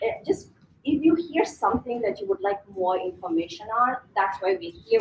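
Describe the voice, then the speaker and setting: A woman speaks at a moderate pace in a somewhat breathy voice. Her fairly high pitch swings very widely. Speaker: financial seminar presenter. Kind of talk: seminar presentation. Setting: live audience in a venue.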